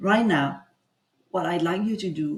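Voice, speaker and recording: A woman's somewhat breathy voice with a French accent, fairly slow pace and ordinary pitch variation. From France. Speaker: executive coach. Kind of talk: guided coaching session. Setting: livestream.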